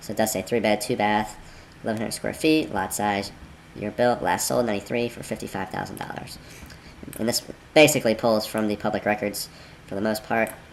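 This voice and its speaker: A man with ordinary pitch variation speaks with long, frequent pauses amid noticeable background noise. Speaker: real estate investor. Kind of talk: screen-recorded tutorial. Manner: casual, conversational.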